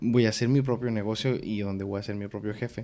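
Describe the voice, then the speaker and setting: A man's ordinary speaking voice at medium pitch, fairly even in intonation and fairly quick in pace. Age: 20s. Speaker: podcast host. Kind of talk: casual chat.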